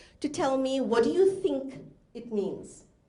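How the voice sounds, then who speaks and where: A woman's high voice with very wide pitch swings and audible room echo. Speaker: professional speaker and inclusion specialist. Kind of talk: conference talk. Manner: fast; interactive.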